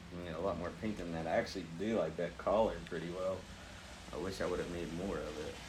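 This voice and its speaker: A man talks at a fairly quick pace with audible room echo around him. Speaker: painting instructor. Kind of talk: tutorial. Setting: home studio, one earpiece with music. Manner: loud; casual, chatty.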